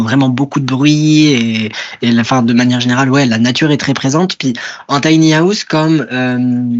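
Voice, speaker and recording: Speaking at a moderate pace, this man has a medium-pitched voice and fairly even intonation. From rural France. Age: 20s. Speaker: author and librarian. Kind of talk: interview. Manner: halting, many fillers.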